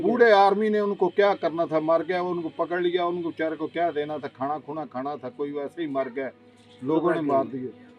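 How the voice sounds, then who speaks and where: A man talks at a fairly high pitch with ordinary pitch variation. Noticeable background noise sits behind him. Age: 80s+. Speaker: village elder recalling the 1965 war. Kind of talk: interview answer.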